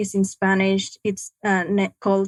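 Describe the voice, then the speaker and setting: At a moderate pace and medium pitch, a woman speaks with a dry, close sound that has no echo. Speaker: trafficking survivor and nonprofit founder. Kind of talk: testimony.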